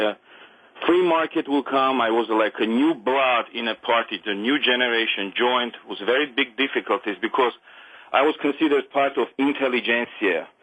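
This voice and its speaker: This man speaks with an Armenian accent. His pitch is medium, with ordinary variation. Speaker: caller. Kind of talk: phone-in call.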